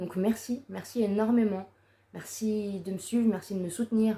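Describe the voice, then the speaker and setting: The woman's tone is dark and mellow, her pitch medium. She keeps her intonation fairly even. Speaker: YouTuber. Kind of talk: personal vlog monologue. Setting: seated to-camera video. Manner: halting.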